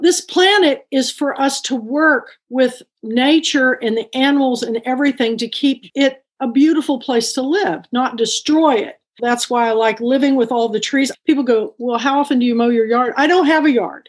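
Speaking at a moderate pace with hardly any pauses, a woman has a high pitch and ordinary pitch variation. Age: 60s. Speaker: bookstore owner and book club founder. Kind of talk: interview. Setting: video call.

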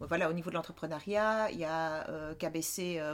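Here is a woman with a plain, everyday voice. Her pitch is fairly low, with ordinary pitch variation. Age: 50s. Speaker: entrepreneur. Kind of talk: interview.

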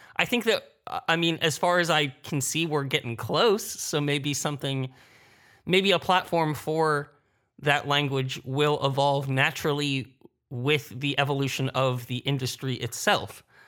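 A bright, sharp tone at a fairly slow pace with ordinary pitch variation, on a very clean recording with a silent background. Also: man, fairly high pitch for a man. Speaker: podcast producer and sound designer. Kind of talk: panel discussion.

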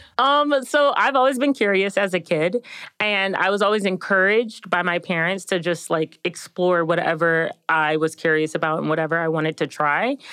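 Against a quiet background, a woman with a medium-pitched, bright, sharp tone talks at a moderate pace with lively intonation, very even loudness and hardly any pauses. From suburban Maryland, US. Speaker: neuroscience PhD student. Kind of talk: casual interview.

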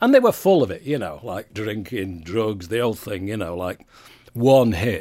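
A man with a Mancunian accent talks at a fairly quick pace, medium in pitch, with a dark, mellow tone and lively intonation. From Manchester, England. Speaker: music industry veteran and former radio presenter. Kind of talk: interview.

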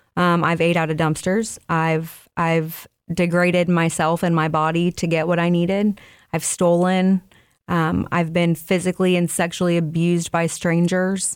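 A woman speaks in a fairly low, monotone, flat voice at very even loudness. The recording is very clean, with a silent background. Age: 30s. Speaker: person in addiction recovery. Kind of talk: testimony. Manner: halting.

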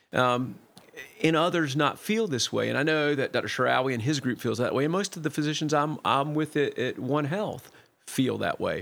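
An unremarkable speaking voice, a man with an American accent, fairly high pitch, ordinary pitch variation and moderate pace. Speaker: family physician. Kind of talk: casual chat.

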